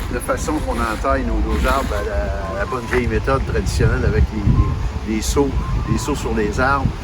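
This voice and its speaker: Echo from the room is audible. Music also runs behind the speech. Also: man. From Quebec, Eastern Townships. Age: old. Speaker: maple syrup producer. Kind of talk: casual presentation. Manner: halting, many repetitions.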